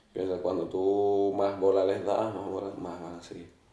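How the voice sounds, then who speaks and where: Speech at a moderate pace with audible room echo. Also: man. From Western Sahara. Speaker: footballer and social integration student. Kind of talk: interview.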